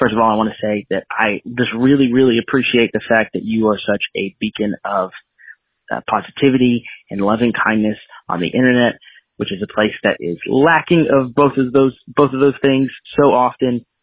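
An unremarkable speaking voice with an American accent moves at a moderate pace with ordinary pitch variation. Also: man, medium pitch for a man. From North Carolina. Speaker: listener calling in. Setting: phone call voicemail.

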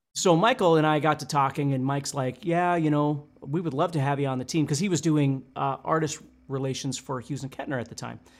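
With a plain, everyday voice pitched fairly high, a man talks at a fairly quick pace with hardly any pauses and ordinary pitch variation, in a very clean recording with a silent background. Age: 50s. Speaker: guitar teacher. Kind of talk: casual chat.

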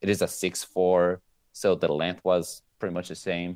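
A very deep, low-pitched man's voice on a very clean recording with a silent background. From Venezuela. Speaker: amateur surfer. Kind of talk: casual interview.

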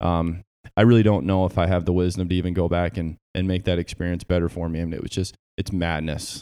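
With an American accent, a man speaks very fast in a very deep, low, dark, mellow voice with monotone, flat intonation, on a very clean recording with a silent background. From Southeast Michigan. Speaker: podcast co-host, Navy veteran. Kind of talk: casual chat. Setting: home garage gym.

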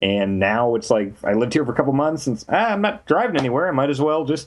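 With very wide pitch swings, a man speaks around a medium pitch. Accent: American. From US Midwest, Kansas. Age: 30s. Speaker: video game journalist and author. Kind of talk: casual interview.

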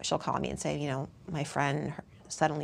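A woman with an American accent and vocal fry, at a moderate pace. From US Northeast, Worcester, Massachusetts. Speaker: personal finance author and TV commentator. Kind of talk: casual interview chat.

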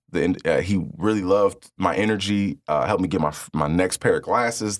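Ordinary pitch variation marks a plain, everyday voice in a very clean recording with a silent background. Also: man. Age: 30s. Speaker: public speaker. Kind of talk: casual interview chat.

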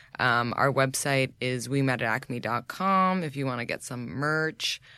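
Very deep in pitch yet bright and sharp in tone, a woman speaks very slowly with an American accent. The recording is very clean, with a silent background. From New York. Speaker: podcast host and social media consultant. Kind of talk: casual chat. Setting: studio.

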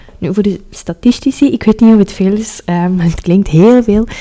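A woman's voice with ordinary pitch variation. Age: 20s. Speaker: history podcaster. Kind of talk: solo podcast narration.

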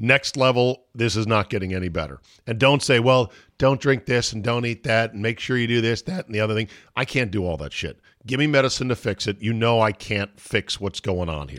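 A man's medium-pitched voice with vocal fry and lively intonation, at a fairly quick pace, in a very clean recording with a silent background. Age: old. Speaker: sports talk podcast host. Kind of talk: casual chat.

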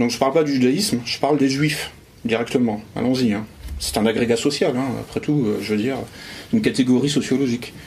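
A man with a medium pitch speaks at a fairly quick pace with ordinary pitch variation. Audible room echo surrounds his voice. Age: 40s. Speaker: essayist and conference speaker. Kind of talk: public lecture. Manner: halting, many repetitions.

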